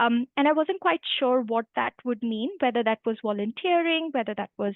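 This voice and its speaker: Speaking in an Indian accent, a woman with a high pitch keeps a moderate pace and lively intonation. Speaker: human rights lawyer. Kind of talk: career talk to students.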